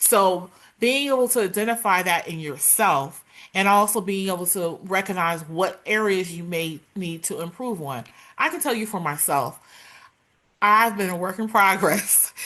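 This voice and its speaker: Loud and bright with a sharp tone, a woman speaks in a medium pitch. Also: lively intonation, moderate pace, quiet background. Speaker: workplace culture advocate and speaker. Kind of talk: interview.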